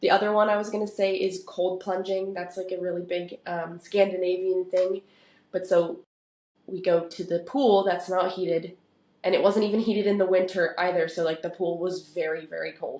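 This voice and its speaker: A woman with a West Coast accent talks at a moderate pace in a dark, mellow tone, her medium pitch held in monotone, flat intonation. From Oregon, US. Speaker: professional soccer player. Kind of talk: podcast interview. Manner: casual, conversational.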